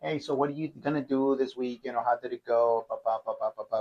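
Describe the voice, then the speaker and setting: A man with a Spanish accent speaks at a very fast pace in a dry, close sound with no echo. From northern Mexico (Matamoros, Tamaulipas). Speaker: university faculty member. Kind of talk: casual chat. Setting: kitchen.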